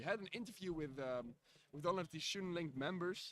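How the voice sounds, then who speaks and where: In a Dutch accent, a man talks fairly quickly at a high pitch with ordinary pitch variation. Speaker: live stream commentator. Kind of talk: live commentary. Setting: live stream. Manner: halting, many fillers.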